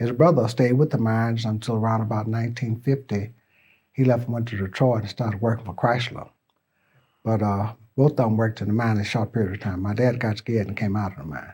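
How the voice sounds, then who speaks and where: The man's voice sits at a medium pitch, with a dark, mellow tone and some breathiness. He talks very fast on a very clean recording with a silent background. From US South, Birmingham, Alabama. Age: 70s. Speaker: oral history interviewee. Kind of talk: oral history interview. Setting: interview at a college. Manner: halting, with repeated words.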